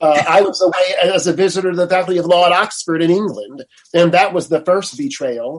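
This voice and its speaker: Moving at a fairly quick pace, a high-pitched man talks with ordinary pitch variation. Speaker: law professor and attorney. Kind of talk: interview. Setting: video call.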